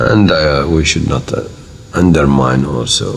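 Delivery comes at a fairly slow pace with ordinary pitch variation. There is light background noise behind it. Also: man. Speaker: government minister. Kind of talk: interview answer. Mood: warm, reflective, smiling. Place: office.

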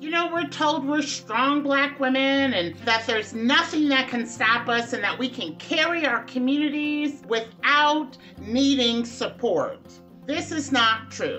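A woman speaks in a raised, projected voice at a fairly slow pace, with faint music in the background. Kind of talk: direct-to-camera advocacy talk. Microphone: phone near.

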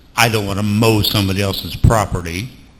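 There is audible room echo as a man speaks in a fairly low pitch with ordinary pitch variation. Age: 70s. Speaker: city council member. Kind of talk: council meeting discussion.

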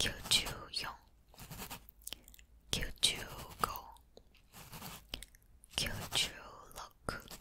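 A woman's fairly quick whispering, with big swings in loudness and long, frequent pauses. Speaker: ASMR creator. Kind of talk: ASMR counting to sleep. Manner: soft, whispered. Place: home room. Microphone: studio mic.

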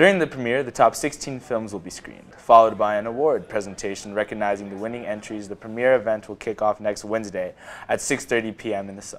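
Over music in the background, a man talks at a fairly quick pace with hardly any pauses and a fairly low pitch. His intonation stays fairly even while his loudness swings widely. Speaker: news anchor. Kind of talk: studio newscast read from a script. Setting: studio. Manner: clear, steady and formal, newsreader style.

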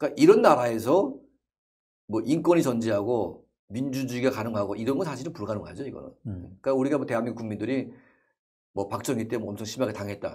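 Somewhat breathy and very fast, a man speaks with big swings in loudness and ordinary pitch variation against a quiet background. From North Korea. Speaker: North Korean defector and activist; interview guest. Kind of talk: interview. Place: studio. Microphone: lapel.

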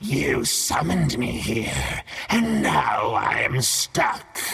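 Very slow, put-on character voice from a man. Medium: read story. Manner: menacing, mocking, grandiose.

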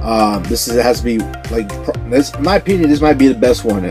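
Backed by clear music, a man speaks at a fairly quick pace. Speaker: toy collector vlogger. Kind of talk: casual vlog chat. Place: home room. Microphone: phone near.

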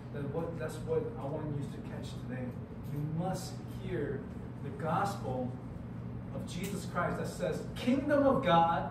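Over loud background noise and audible room echo, a man talks at a moderate pace. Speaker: youth retreat pastor. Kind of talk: sermon. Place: hall. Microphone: camera far.

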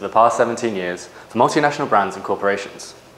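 With audible room echo, a man talks at a very fast pace with ordinary pitch variation. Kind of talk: formal announcement. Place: office. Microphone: camera far.

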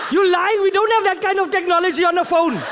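A moderate pace over noticeable background noise. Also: man. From South Africa, Eastern Cape. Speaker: comedian. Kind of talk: stand-up. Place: stage. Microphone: handheld.

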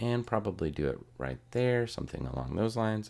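Vocal fry runs through a man's voice. He keeps a moderate pace and lively intonation. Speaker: graphic design tutorial creator. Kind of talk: tutorial. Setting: screen recording at a computer. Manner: casual, thinking aloud with fillers.

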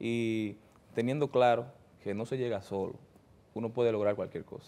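Using a plain, everyday voice, a man at medium pitch speaks at a fairly quick pace. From Dominican Republic, Santo Domingo; Dominican Republic. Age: 30s. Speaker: politician, newly elected congressman; politician guest. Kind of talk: interview. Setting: studio. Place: studio. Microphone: lapel.

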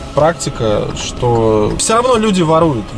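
A man speaks with clear music in the background and a dry sound with no echo. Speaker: taxi driver vlogger. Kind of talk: casual vlog chat. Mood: annoyed, disapproving. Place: car. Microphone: phone near.

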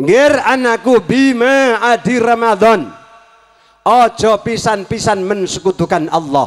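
Spoken in a Javanese accent at a fairly slow pace, the voice has lively intonation and very even loudness against a quiet background. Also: man. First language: Javanese (speaking Indonesian). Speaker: Islamic preacher. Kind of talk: sermon. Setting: circumcision celebration gathering with audience. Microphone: handheld.

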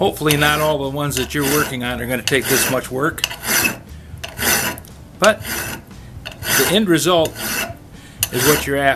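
Over loud background noise, a man talks at a moderate pace with ordinary pitch variation and long, frequent pauses. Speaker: woodworker demonstrating tool sharpening. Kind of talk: tutorial. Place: workshop.

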